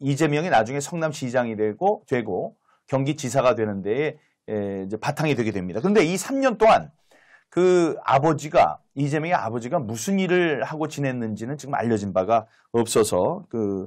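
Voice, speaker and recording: Against a quiet background, a man with a medium-pitched voice talks at a moderate pace with very wide pitch swings. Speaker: former lawmaker, political commentator. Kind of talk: political talk-show discussion. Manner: hesitant, many filler sounds.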